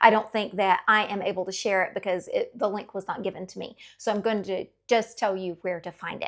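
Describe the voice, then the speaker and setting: In a raspy, put-on character voice at medium pitch, a woman speaks at a fairly quick pace on a very clean recording with a silent background. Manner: talking fast, excited, overwhelmed.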